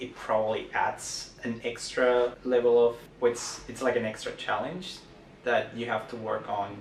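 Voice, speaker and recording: A man speaks fairly slowly in a flat monotone. The room echo is audible and there is noticeable background noise. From Mexico, Guadalajara. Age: 30s. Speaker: community member interviewee. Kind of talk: personal testimony interview.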